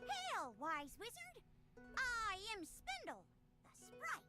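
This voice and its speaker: Put-on character voice at an extremely high pitch and very slow pace over loud background noise. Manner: theatrical, earnest.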